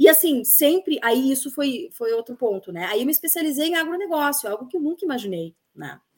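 A fairly quick, high-pitched woman's voice with very wide pitch swings and big swings in loudness. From Rio Grande do Sul, Bento Gonçalves. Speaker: journalist. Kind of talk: casual interview conversation.

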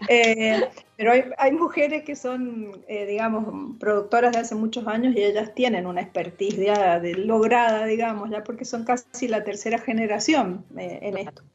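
A woman speaks at a moderate pace in a fairly high voice with ordinary pitch variation and hardly any pauses. Noticeable background noise runs underneath. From Argentina, Mendoza. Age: 60s. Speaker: retired teacher and wine producer. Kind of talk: casual interview.

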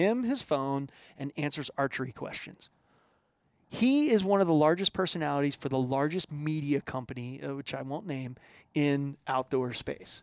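With an American accent, a man in an ordinary speaking voice talks at a moderate pace and fairly high pitch with ordinary pitch variation, the sound dry and close with no echo on a very clean recording with a silent background. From Philadelphia, US. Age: 40s. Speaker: outdoor marketing and television producer, former touring musician. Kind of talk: casual podcast interview. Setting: home studio.

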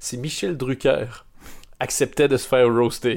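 Speaking at a moderate pace and medium pitch, a man with a Canadian French accent is heard on a very clean recording with a silent background. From Canada. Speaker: podcast host. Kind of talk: casual chat.

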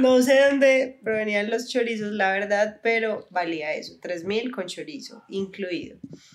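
A woman with an unremarkable speaking voice talks at a fairly slow pace with hardly any pauses, her pitch fairly high with ordinary variation. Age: 20s. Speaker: university student and influencer. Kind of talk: casual chat.

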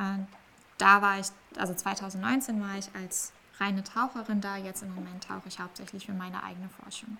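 A woman speaks in a plain, everyday voice at medium pitch and a moderate pace, her intonation fairly even while her loudness swings widely. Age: 20s. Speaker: marine biology PhD student and research diver. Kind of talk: interview.

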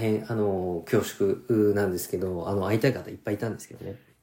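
This man's voice has a dark, mellow tone. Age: 40s. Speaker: rapper and podcast host. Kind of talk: casual solo talk. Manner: many hesitation fillers.

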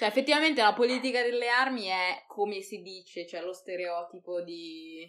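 At a moderate pace, a woman with a medium-pitched voice speaks in an animated tone, her intonation lively and her loudness swinging widely. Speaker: podcast host. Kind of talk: casual chat. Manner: animated, laughing.

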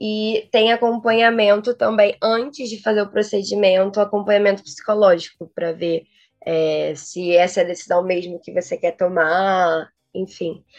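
Speaking at a moderate pace with fairly even intonation, a woman uses a plain, everyday voice at a medium pitch. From Rio de Janeiro. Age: 20s. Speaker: international relations graduate and researcher. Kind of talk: interview.

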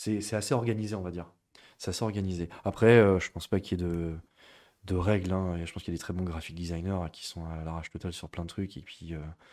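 A very fast man with a very deep, low pitch and fairly even intonation, in a very clean recording with a silent background. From western France (Niort). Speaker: art director and graphic designer. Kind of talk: interview. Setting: school premises, streamed live.

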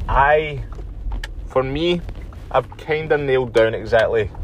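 In a Glaswegian accent, a man talks at a moderate pace over noticeable background noise, with audible room echo. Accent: Glaswegian Scottish. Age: 30s. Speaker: podcast host. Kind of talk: solo podcast monologue. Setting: outdoors, walking.

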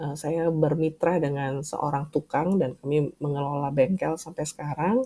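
A woman with a very deep, low pitch and a dark, mellow tone speaks with fairly even intonation and hardly any pauses. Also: moderate pace. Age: 40s. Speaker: podcast host, writer and language teacher. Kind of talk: solo podcast monologue.

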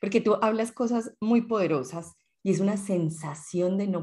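In a very clean recording with a silent background, a woman speaks fairly slowly in a dark, mellow tone with ordinary pitch variation. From Colombia (Medellín). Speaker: podcast co-host. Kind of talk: casual chat.

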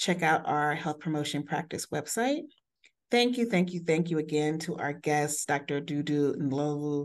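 A woman talks at a moderate pace in an unremarkable speaking voice, with ordinary pitch variation. The background is quiet. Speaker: co-host, editorial board member and scholar. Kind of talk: interview conversation.

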